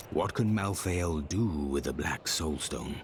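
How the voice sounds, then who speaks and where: A man puts on a solemn character voice, pitched very deep and low. He speaks fairly slowly over clear background noise. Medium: video game. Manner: measured, solemn.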